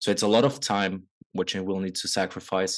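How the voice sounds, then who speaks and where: In a quiet setting, a man with a non-native accent speaks at a moderate pace in a fairly low pitch. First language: not English. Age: 20s. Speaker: men's coach. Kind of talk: podcast interview.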